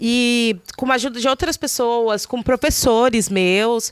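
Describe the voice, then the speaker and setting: The recording is dry and close with no echo, capturing a woman's fairly high-pitched voice. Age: 20s. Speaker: poet and candidate for culture council. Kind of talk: meeting self-introduction. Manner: hesitant, many fillers.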